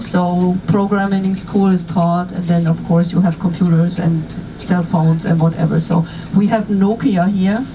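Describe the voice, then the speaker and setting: Against noticeable background noise, the speaker talks at a moderate pace with a German accent. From Germany. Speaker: tour guide. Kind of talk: guided tour talk. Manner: halting.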